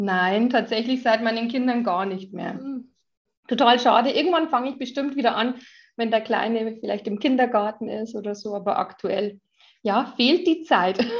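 A woman talks at a moderate speed, her pitch rising and falling in an ordinary way. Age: 30s. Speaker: mother and social media influencer. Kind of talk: casual interview chat.

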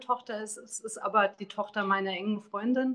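A woman's fairly high, bright, sharp voice, monotone and flat, at a moderate pace. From Taunus, Hesse. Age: 40s. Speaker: author. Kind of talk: interview.

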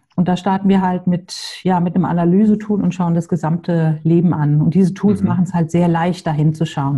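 A woman's fairly low voice at a fairly quick pace, monotone and flat, with very even loudness, hardly any pauses and noticeable background noise. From Hamburg, northern Germany. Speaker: separation coach. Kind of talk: podcast interview.

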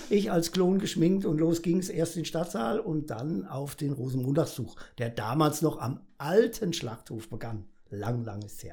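A man's somewhat breathy, fairly high voice with a dark, mellow tone, fairly slow in pace, with very wide pitch swings and big swings in loudness. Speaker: carnival comedian. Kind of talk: casual interview. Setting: studio.

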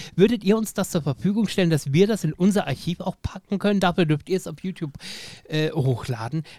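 Dark and mellow in tone yet high in pitch, a man talks at a fairly quick pace with ordinary pitch variation. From Lower Saxony, Germany. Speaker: podcast host. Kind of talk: casual interview.

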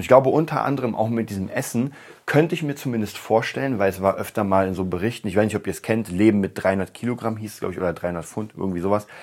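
A man races along very fast, his fairly low pitch showing ordinary variation. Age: 30s. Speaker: podcast host for musicians. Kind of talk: solo monologue podcast. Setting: home studio room.

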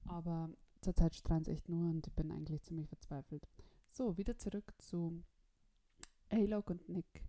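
Fairly low in pitch with a dark, mellow tone, a woman speaks at a moderate pace with ordinary pitch variation and long, frequent pauses, the sound dry and close with no echo. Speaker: podcast host. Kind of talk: scripted narration; casual chat. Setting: Skype call. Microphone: Skype and voice recorder, technical problems.

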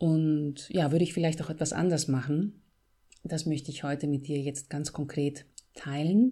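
A woman's very deep, low voice in a Bavarian accent, somewhat breathy, with a dark, mellow tone, ordinary pitch variation and moderate pace, on a very clean recording with a silent background. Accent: Bavarian, rolled R. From Bavaria, Greek family. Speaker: podcast host and author. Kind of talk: solo podcast monologue. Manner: trained clear diction.

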